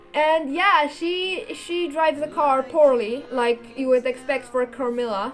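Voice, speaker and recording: Against music in the background, a woman speaks at a fairly slow pace in a high pitch with ordinary variation. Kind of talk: casual talk to camera. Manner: rambling, hesitant.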